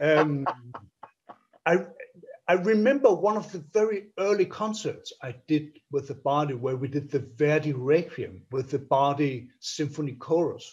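With a Danish accent and lively intonation, a man speaks fairly slowly against a quiet background. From Denmark. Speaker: orchestra conductor; interviewee. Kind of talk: interview. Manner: halting, many repetitions and fillers. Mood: warm, reminiscing. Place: home room. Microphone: video call.

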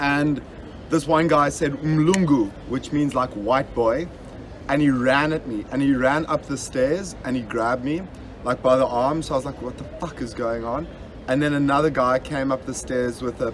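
A man speaks at a moderate pace with fairly even intonation. Light background noise can be heard. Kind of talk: casual storytelling among friends. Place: boat. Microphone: phone near.

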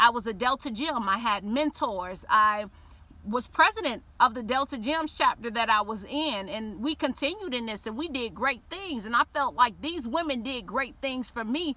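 A woman talks in a high, animated voice with lively intonation. The sound is dry with no echo. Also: moderate pace. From Miami, Liberty City; Florida. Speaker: YouTuber telling personal faith story. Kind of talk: personal testimony monologue. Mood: earnest, sometimes playful. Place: car. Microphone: phone near.

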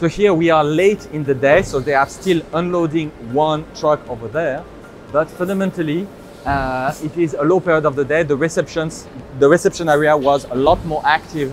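Over music in the background, a man speaks at a moderate pace with fairly even intonation in a dry sound with no echo. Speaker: presenter. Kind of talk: tour commentary. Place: factory.

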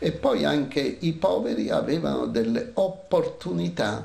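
Vocal fry runs through a slightly mellow tone with lively intonation. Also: man.

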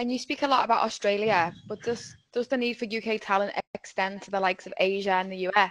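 With a normal speaking voice, a woman speaks at a medium pitch and a fairly quick pace, using ordinary pitch variation, big swings in loudness, and hardly any pauses. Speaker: webinar host and facilitator. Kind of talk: webinar presentation.

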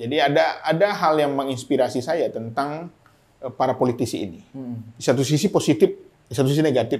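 A man talks at a very fast pace in a fairly high voice with lively intonation. His loudness swings a lot. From Medan, North Sumatra, Minangkabau family. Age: 40s. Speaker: mayoral candidate. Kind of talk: casual interview talk. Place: studio. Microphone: lapel.

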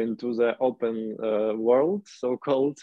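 Speaking at a fairly slow pace, a man with a Ukrainian accent keeps a medium pitch and fairly even intonation. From Ukraine, Chernihiv. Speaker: urban activist. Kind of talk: video call discussion. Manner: halting.

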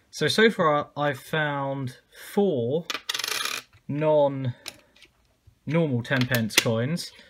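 With lively intonation, a man talks as noticeable background noise continues. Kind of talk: casual commentary. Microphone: phone near.

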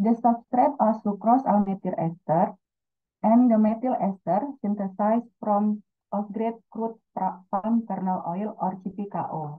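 With an Indonesian accent, a woman speaks at a very slow pace in a fairly high voice with ordinary pitch variation. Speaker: student researcher. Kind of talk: conference presentation. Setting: video call.

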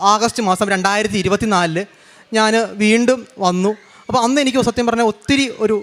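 A high-pitched man speaks with fairly even intonation. His loudness stays very even. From Kerala, Kannur district. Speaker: churchgoer giving testimony. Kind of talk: testimony.

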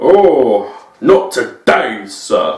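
With a slight echo, a man performs a put-on character voice.

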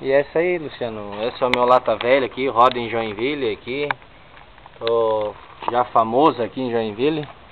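Moderate speech from a man, with noticeable noise in the background. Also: medium pitch for a man. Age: 20s. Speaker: car owner making a video application. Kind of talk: casual video walkthrough.

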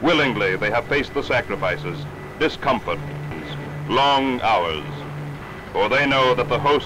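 A man speaks at a medium pitch and a moderate pace, keeping his loudness very even. He leaves long, frequent pauses, and there is noticeable background noise. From Canada. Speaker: stage actor. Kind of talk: documentary narration. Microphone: old recording.

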